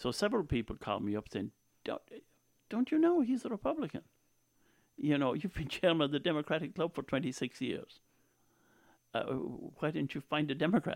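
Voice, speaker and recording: Speaking at a moderate pace with an Irish accent, a man uses a fairly high pitch with very wide pitch swings and long, frequent pauses, in a dry, close sound with no echo. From Ireland, County Tipperary. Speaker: former priest and local politician. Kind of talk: interview.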